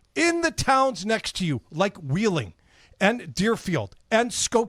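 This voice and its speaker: A loud man speaks at a fairly slow pace with very wide pitch swings, in a very clean recording with a silent background. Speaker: radio host. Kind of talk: casual chat.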